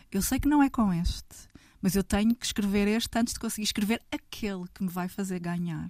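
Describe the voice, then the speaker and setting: In a very clean recording with a silent background, a woman with a European Portuguese accent speaks somewhat breathily at a fairly quick pace, with ordinary pitch variation. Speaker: writer. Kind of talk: casual chat.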